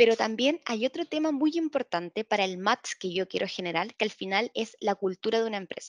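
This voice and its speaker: A woman with an unremarkable speaking voice, fairly high pitch and lively intonation at a fairly quick pace with hardly any pauses, in a dry sound with no echo and a quiet background. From Concepción, Chile; Chile. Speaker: employer branding analyst at a bank; webinar presenter. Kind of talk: webinar presentation. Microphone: video call.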